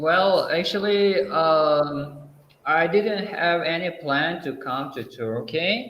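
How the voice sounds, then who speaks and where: Very slowly and with an Uzbek accent, a man speaks amid audible room echo. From Uzbekistan. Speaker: English teacher. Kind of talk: interview. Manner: halting, many fillers.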